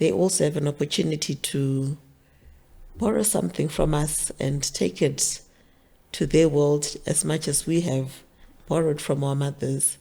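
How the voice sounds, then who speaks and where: A woman with a Zimbabwean accent has a very deep, low voice with a dark, mellow tone and vocal fry, speaking at a moderate pace with lively intonation. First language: Shona. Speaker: author. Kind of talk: interview.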